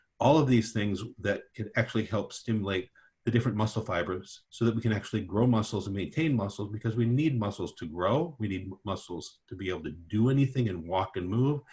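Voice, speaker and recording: A man's fairly low, somewhat breathy voice at a fairly quick pace, with ordinary pitch variation and hardly any pauses. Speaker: physician, orthopedic and regenerative medicine. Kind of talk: webinar presentation. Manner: fast.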